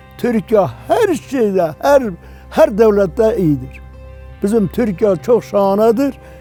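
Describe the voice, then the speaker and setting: Music in the background behind a man at a high pitch, very slow pace and ordinary pitch variation. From Van, eastern Turkey. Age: 80s+. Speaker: villager. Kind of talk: interview answer.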